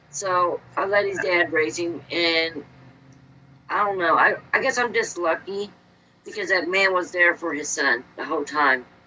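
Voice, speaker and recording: Over noticeable background noise, a woman with an American accent talks at a fairly slow pace, her fairly low pitch showing ordinary variation. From Indiana. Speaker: podcast guest. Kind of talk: casual chat.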